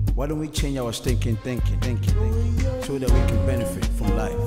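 A man keeps a moderate pace while loud music plays in the background. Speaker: spoken word artist. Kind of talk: spoken word poetry performance. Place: studio.

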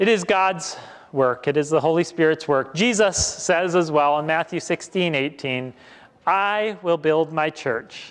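In an Upper Midwest accent, a man speaks fairly slowly at a fairly high pitch with lively intonation. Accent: Upper Midwest American. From Western Wisconsin. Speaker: pastor. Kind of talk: sermon. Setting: church. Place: church.

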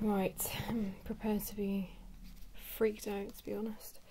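A soft-spoken voice talks at a moderate pace over noticeable background noise. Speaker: artist drawing tutorial host. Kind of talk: casual drawing commentary. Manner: soft-spoken ASMR voice.

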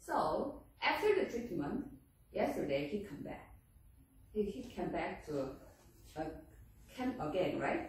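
In strong room echo, a woman with a Korean accent speaks at a fairly slow pace with very wide pitch swings and long, frequent pauses. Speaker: professor of herbal medicine. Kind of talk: lecture. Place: classroom. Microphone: camera far.

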